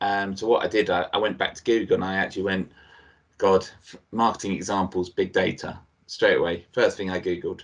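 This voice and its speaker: Monotone and flat in intonation, a man speaks with a very deep, low pitch. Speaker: digital marketing director. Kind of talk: lecture. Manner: casual.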